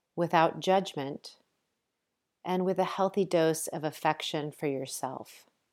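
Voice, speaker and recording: A woman with a normal speaking voice and an American accent speaks at a fairly low pitch and a fairly slow pace. Her pitch varies in an ordinary way, and the recording is very clean with a silent background. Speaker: yoga teacher and podcast host. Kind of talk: guided meditation. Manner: slow, calm, soothing.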